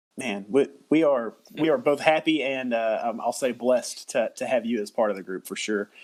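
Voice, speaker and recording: A man with a Southern US accent at a moderate pace. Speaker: podcast host. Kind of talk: casual interview. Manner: halting, many repeated words.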